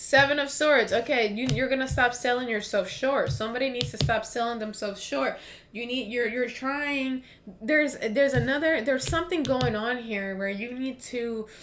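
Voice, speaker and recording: A woman's high voice with an American accent, moderate pace and ordinary pitch variation, amid audible room echo and noticeable background noise. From US East Coast. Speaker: tarot reader. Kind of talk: tarot reading monologue. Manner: casual, filler-heavy.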